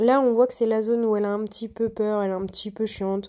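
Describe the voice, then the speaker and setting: The recording is very clean, with a silent background. A woman of medium pitch speaks at a moderate pace in a dark, mellow tone with monotone, flat intonation. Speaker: horse riding vlogger. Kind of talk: voice-over commentary. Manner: casual, hesitant with many fillers.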